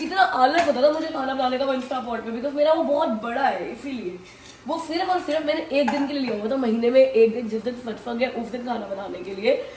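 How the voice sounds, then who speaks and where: Her pitch high and intonation lively, a woman speaks at a fairly quick pace with big swings in loudness, amid audible room echo and noticeable background noise. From India. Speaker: family vlogger. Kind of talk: casual vlog talk.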